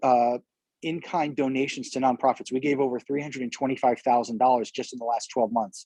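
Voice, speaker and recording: In an American accent, a man talks at a fairly quick pace and medium pitch with a dark, mellow tone and a dry, close sound with no echo. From New York. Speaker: community organization founder. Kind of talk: interview. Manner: fast.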